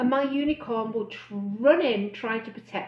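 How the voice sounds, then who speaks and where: A woman's lively intonation comes through at a moderate pace, with noticeable background noise around her. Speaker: bariatric weight-loss coach. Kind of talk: live stream talk. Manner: loud and excitable.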